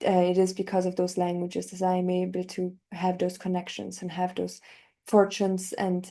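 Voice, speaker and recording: In a German accent, a woman with a dark, mellow tone and medium pitch speaks at a moderate pace in a monotone, flat intonation against a quiet background. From northern Italy. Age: 20s. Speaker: polyglot language learner. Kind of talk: interview.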